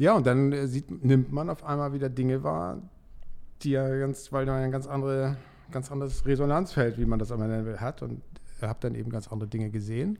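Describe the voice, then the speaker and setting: Speaking at a fairly quick pace, a man has a medium pitch, ordinary pitch variation and a dark, mellow tone. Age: 60s. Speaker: dental lab owner, coaching client. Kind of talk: casual interview. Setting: studio.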